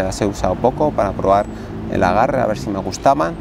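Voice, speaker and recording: A man's fairly low voice at a fairly quick pace, a dry sound with no echo and noticeable background noise. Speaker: trail running vlogger. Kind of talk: casual vlog tutorial. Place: garden. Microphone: lapel.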